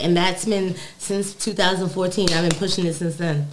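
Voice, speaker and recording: In an American accent, a woman with an ordinary speaking voice talks at a medium pitch with fairly even intonation. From New York, Brooklyn. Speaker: cannabis cultivator and hash maker. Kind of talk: casual chat. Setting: studio.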